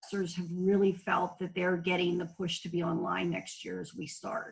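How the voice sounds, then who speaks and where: Vocal fry runs through a woman's fairly low voice. She speaks at a moderate pace in a monotone, flat intonation. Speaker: middle school teacher. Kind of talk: casual chat. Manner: loud.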